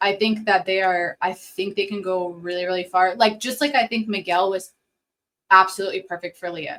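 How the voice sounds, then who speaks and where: A woman speaks at a medium pitch. Her pace is fairly quick, her intonation fairly even. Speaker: podcast co-host, mom. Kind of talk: casual chat. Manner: loud; fast, talkative.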